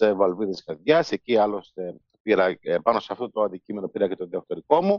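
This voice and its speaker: A man is speaking. His pitch swings very widely. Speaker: biomedical engineering professor. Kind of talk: interview.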